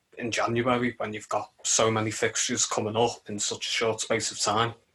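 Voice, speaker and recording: In a Liverpool accent, a man speaks at a moderate pace with a medium pitch. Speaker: football podcast co-host. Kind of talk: casual chat.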